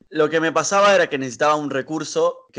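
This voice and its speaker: Over a quiet background, a man talks at a fairly quick pace in a fairly high voice with fairly even intonation. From Argentina, Buenos Aires. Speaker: choir director. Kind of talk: casual interview. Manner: hesitant with fillers.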